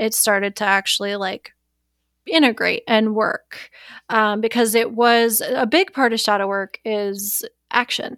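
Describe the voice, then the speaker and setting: In an ordinary speaking voice, a woman talks with an American accent at a fairly high pitch, a fairly slow pace and fairly even intonation. The sound is dry and close with no echo, in a very clean recording with a silent background. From US Midwest, Wisconsin. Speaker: shadow work practitioner. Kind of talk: casual chat.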